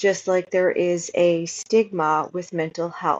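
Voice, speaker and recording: The accent is Canadian. Delivery is very slow. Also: woman. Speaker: vlogger. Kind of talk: casual personal vlog. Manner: hesitant, many fillers.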